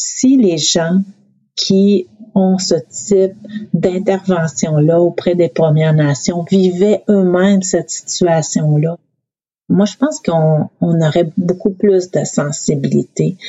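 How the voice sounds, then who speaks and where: The speaker talks at a very slow pace, somewhat breathy, with ordinary pitch variation. Loudness stays very even throughout. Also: woman, fairly low pitch for a woman. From Quebec North Shore, Innu community. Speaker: youth protection manager. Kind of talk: interview.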